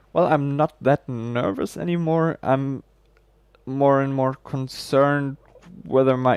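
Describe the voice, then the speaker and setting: A man with a German accent speaks at a very slow pace in a medium pitch, his intonation fairly even, the sound dry and close with no echo. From Germany. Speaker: game streamer and esports caster. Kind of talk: live esports commentary; casual chat with stream viewers. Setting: livestream. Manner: halting.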